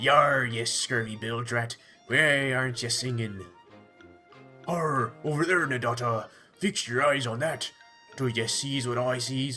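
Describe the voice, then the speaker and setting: A put-on character voice comes through with long, frequent pauses over clear music in the background. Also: man, medium pitch for a man, fairly slow pace. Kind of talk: pirate slang. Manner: boisterous, theatrical.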